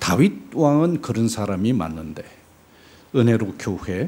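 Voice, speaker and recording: A man speaks with lively, varied intonation and a dark, mellow tone. Some room echo can be heard. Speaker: missionary preacher. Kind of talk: sermon. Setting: church.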